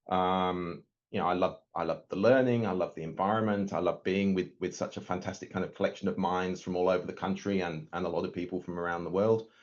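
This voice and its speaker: A man with an English accent talks at a very fast pace with hardly any pauses, his very deep, low voice monotone and flat. The background is quiet. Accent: English accent noticeable. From northern England, Yorkshire Dales. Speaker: nuclear physicist. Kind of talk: webinar talk. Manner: hesitant, many fillers and repeats.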